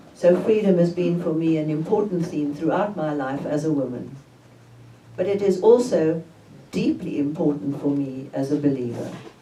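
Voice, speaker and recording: A woman's very deep, low-pitched voice at a moderate pace with ordinary pitch variation, over noticeable background noise and audible room echo. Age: 80s+. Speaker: theologian and author. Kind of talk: book talk interview.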